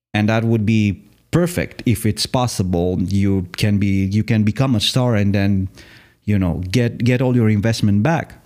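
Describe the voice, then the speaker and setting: Speaking at a moderate pace with a Romanian accent, a man with a fairly low pitch has a dark, mellow tone, ordinary pitch variation and very even loudness. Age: 30s. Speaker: podcaster and former music artist. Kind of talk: solo podcast monologue. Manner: halting, with frequent repetitions.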